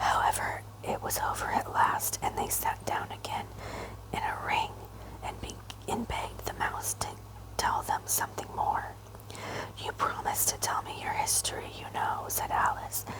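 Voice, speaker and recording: Someone is whispering at a moderate pace, with long, frequent pauses. Noticeable background noise is present. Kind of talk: whispered ASMR audiobook reading. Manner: whispered.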